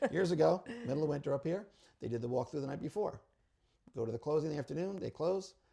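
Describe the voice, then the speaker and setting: A man talks at a very fast pace with long, frequent pauses and a fairly high pitch. His tone is dark and mellow, with ordinary pitch variation. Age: 60s. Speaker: real estate attorney. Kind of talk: casual interview, giving advice.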